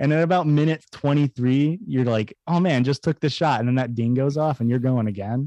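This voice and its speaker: Against a quiet background, with a dry, close sound and no echo, a man speaks at a fairly quick pace with hardly any pauses, his fairly high voice dark and mellow in tone, with ordinary pitch variation and very even loudness. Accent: Midwestern American. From central Illinois, US Midwest. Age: 20s. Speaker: podcast co-host. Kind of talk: casual chat.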